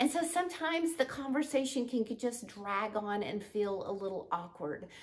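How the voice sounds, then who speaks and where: A woman speaks with lively intonation. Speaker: speaking and confidence coach. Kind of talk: tutorial.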